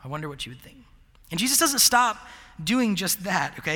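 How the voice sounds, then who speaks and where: Audible room echo fills the space. Through it, a man talks. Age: 30s. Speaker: college ministry pastor. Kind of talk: sermon. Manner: halting.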